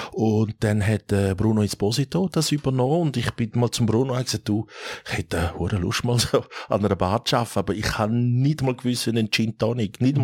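This man has an unremarkable speaking voice, medium in pitch with ordinary pitch variation, moving at a moderate pace in a dry, close sound with no echo. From Switzerland, Thurgau and Zurich area. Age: 50s. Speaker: restaurateur and app founder. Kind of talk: casual interview.

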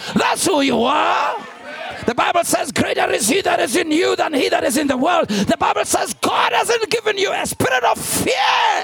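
A man with an extremely high pitch, very wide pitch swings and an animated tone amid crowd noise in the background. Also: moderate pace, hardly any pauses. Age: 50s. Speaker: pastor. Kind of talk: sermon. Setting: church with large congregation and overflow room. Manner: animated, call-and-response preacher who pushes the congregation for an 'amen'; urgent, repetitive, emphatic delivery with direct appeals.

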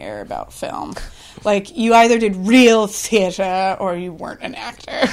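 Speaking at a moderate pace with an American accent, a woman has a normal speaking voice. Her pitch varies in an ordinary way. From Washington State, Columbia River Gorge. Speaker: actress and improv teacher. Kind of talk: casual interview. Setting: in a house.

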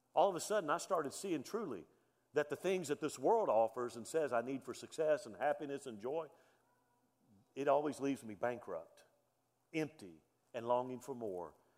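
Fairly high in pitch, a man talks with a Southern US accent and lively intonation. He keeps a moderate pace with long, frequent pauses and big swings in loudness. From US South, Alabama. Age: 50s. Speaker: pastor. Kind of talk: sermon. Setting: church.

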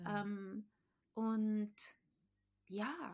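Her voice is somewhat breathy and fairly high as this woman speaks. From South Tyrol, Italy. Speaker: Pilates and qigong teacher. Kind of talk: casual chat. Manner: hesitant, many fillers.

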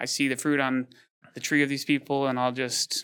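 Monotone and flat, a man speaks at medium pitch with an American accent. His tone is bright and sharp, and his pace fairly quick. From Michigan, Detroit. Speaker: business owner. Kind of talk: interview.

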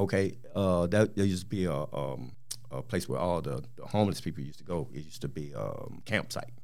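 A man with an American accent, a very deep, low pitch, vocal fry, lively intonation and a fairly quick pace. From US South, Mississippi. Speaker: transit agency employee and community volunteer. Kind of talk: casual chat. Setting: studio.

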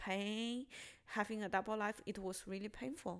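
A woman with a Chinese accent talks at a medium pitch with ordinary pitch variation. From China. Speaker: stand-up comedian. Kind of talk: casual chat. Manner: halting, hesitant.

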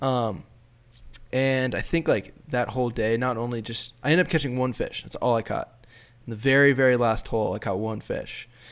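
Using a normal speaking voice, a man with an American accent talks at medium pitch. His pace is moderate and his intonation fairly even. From Minnesota, US Midwest. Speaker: fly fishing filmmaker. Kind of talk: casual interview chat. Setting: remote call.

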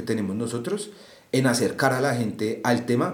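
Fairly quick speech from a man amid audible room echo and noticeable background noise. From Bogotá, Colombia (Bosa). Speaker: student, musician and urban garden co-founder. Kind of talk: interview conversation. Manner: hesitant.

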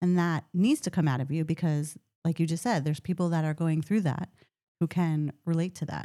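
Over a silent background in a very clean recording, a woman speaks at a fairly quick pace, her fairly low voice dark and mellow in tone. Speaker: podcast host. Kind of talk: casual chat. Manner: soft-spoken; quiet.

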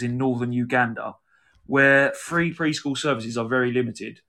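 Over a quiet background, a man with a southern English accent talks at a fairly quick pace and medium pitch, with a bright, sharp tone and ordinary pitch variation. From southeast England. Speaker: podcast host. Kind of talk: casual chat, live stream. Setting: live video stream. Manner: jokey, puts on impressions.

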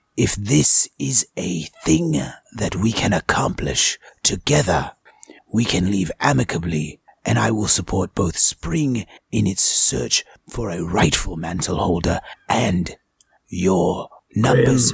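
Putting on a character voice, a man speaks at a very deep, low pitch and a fairly slow pace, with long, frequent pauses. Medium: actual play. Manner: formal, measured.

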